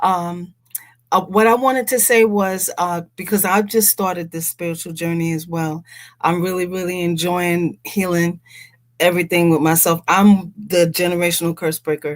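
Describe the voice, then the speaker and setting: On a very clean recording with a silent background, a woman with a fairly low pitch speaks at a moderate pace with fairly even intonation. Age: 60s. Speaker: caller. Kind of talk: casual chat. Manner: halting, repeated words.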